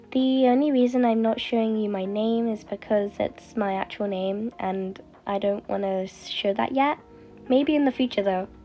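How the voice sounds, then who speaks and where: A woman talks at a moderate pace in a fairly high voice with ordinary pitch variation. Music plays in the background. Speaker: gaming youtuber. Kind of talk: casual gameplay commentary.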